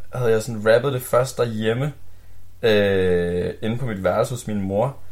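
Here a man speaks at a moderate pace in a normal speaking voice, fairly low in pitch, with ordinary pitch variation. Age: 20s. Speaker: rapper. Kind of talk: casual chat. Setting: studio.

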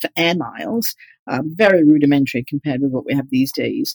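With a British accent, a woman talks in a very deep, low pitch with lively intonation at a moderate pace, the sound dry and close with no echo. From England, East Yorkshire. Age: 50s. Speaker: organizational psychologist, group moderator. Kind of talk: interview.

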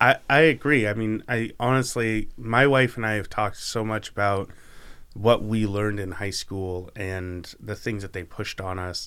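With ordinary pitch variation, a man with an American accent has a plain, everyday voice, recorded very cleanly against a silent background. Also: fairly low pitch for a man, moderate pace. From Oregon, Canby. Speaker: podcast host. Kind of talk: casual interview chat.

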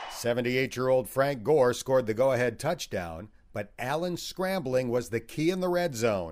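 An unremarkable speaking voice belongs to a man at medium pitch, with lively intonation. He speaks at a fairly slow pace with hardly any pauses. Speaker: podcast host. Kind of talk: podcast hosting, narration and interview.

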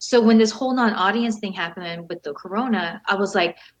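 An American accent in a normal speaking voice, its pitch varying in ordinary ways. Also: woman. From Southern California. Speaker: retired professional wrestler and model. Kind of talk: interview.

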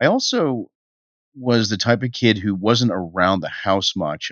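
A man's unremarkable speaking voice, fairly low in pitch, with an American accent and ordinary pitch variation. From Boston area, Massachusetts. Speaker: venture capital investor. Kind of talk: interview.

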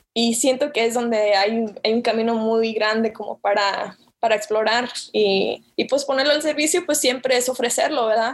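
This is an unremarkable speaking voice at a moderate pace. Its pitch varies in an ordinary way. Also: woman, fairly high pitch for a woman. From Chicago, USA (born in Jalisco, Mexico). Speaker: graphic designer and theology student. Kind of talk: interview.

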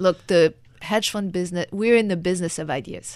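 A woman with a medium pitch speaks with fairly even intonation on a very clean recording with a silent background. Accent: French. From France. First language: French. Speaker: former hedge fund manager and author. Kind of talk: interview. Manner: halting.

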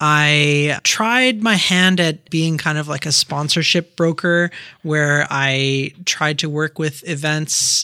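A man with a Canadian accent speaks very slowly at a fairly high pitch, the sound dry and close with no echo. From Quebec. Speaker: community builder. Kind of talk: casual interview. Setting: studio.

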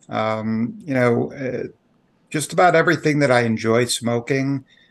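Over a quiet background, a man with an unremarkable speaking voice talks at a fairly slow pace in an American accent, his pitch medium with ordinary variation. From Chicago area, Illinois. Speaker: lobbyist, pipe smoker. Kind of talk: interview.

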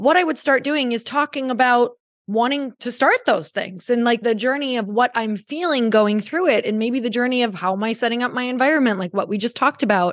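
An animated tone at a fairly quick pace, with ordinary pitch variation and hardly any pauses. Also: woman, high pitch for a woman. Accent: American. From Upper Michigan, US. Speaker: podcast host and entrepreneur. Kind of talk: interview conversation.

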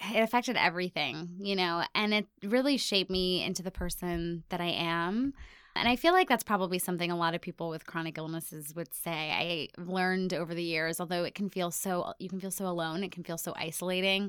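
A woman's fairly low, a normal speaking voice at a fairly quick pace with ordinary pitch variation, very clean recording, silent background. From US, Ohio and abroad. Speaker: self-love content creator with chronic illness. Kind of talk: interview.

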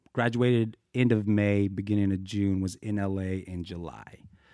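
With an ordinary speaking voice, a man talks in a fairly low pitch and fairly even intonation. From Boulder, Colorado, US. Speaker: professional dancer. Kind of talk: casual interview.

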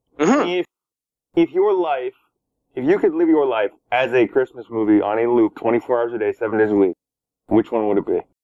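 A man with a plain, everyday voice, a Canadian accent, medium pitch, lively intonation and a fairly quick pace. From Toronto, Canada. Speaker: podcast host interviewer. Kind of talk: casual interview chat.

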